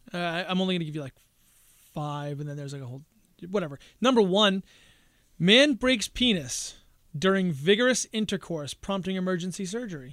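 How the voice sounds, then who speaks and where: Fairly quick, lively speech with long, frequent pauses and big swings in loudness, in a very clean recording with a silent background. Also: man. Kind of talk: casual banter podcast.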